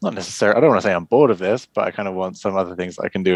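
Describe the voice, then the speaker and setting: Against a quiet background, a man with an English accent speaks very fast at a very deep, low pitch, with a dry, close sound and no echo. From England. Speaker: board game publisher and designer. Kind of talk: casual interview.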